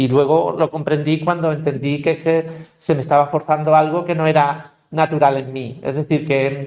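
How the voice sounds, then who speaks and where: A man speaks in a fairly high pitch at a moderate pace. His intonation stays fairly even. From Andalusia, Seville. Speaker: linguistics professor, panelist. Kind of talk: panel discussion. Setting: university panel with audience. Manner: hesitant, many fillers.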